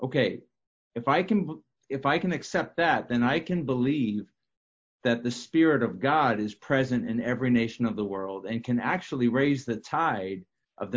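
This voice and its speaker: A man talks in a normal speaking voice at medium pitch, with ordinary pitch variation and a moderate pace. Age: 50s. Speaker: prophetic minister. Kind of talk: casual discussion.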